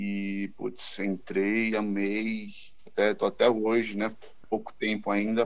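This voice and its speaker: Speaking in a normal speaking voice, a man keeps a fairly low pitch and fairly even intonation. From Brazil, São Paulo city. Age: 20s. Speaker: pharmaceutical sales representative. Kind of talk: casual chat.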